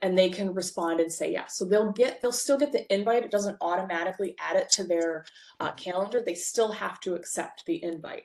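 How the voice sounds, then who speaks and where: At a fairly quick pace, a woman with an unremarkable speaking voice talks at medium pitch with ordinary pitch variation. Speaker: bookkeeper and software trainer; software trainer. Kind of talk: webinar presentation. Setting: online webinar. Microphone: video call.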